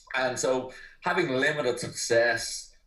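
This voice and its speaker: The male voice is heard in an Irish accent. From Ireland. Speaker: personal trainer. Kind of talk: podcast interview.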